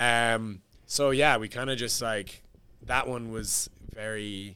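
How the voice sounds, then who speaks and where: With a Cork accent, a man talks at a fairly slow pace. His pitch is fairly low and his tone bright and sharp. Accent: Cork Irish. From Ireland, Cork. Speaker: singer-songwriter. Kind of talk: casual interview.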